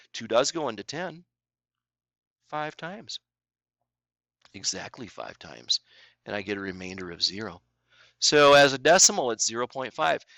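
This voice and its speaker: A man with a medium pitch speaks in a bright, sharp tone, with very wide pitch swings and big swings in loudness. He takes long, frequent pauses, in a dry, close sound with no echo, and the recording is very clean with a silent background. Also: moderate pace. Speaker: math teacher. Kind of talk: tutorial. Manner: casual, conversational.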